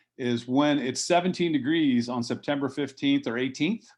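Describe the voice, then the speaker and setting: A man with an American accent and a plain, everyday voice speaks at a medium pitch and a moderate pace over a quiet background. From US Northeast (southeastern Pennsylvania). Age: 60s. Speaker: fruit nursery grower. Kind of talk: conference talk, interview conversation.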